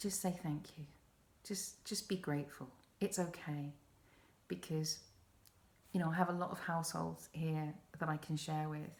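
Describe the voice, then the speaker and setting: Somewhat breathy and calm in tone, this speaker has an English accent and fairly even intonation. Long pauses come often. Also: woman, very deep, low pitch for a woman, moderate pace. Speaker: podcast host. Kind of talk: self-help podcast talk.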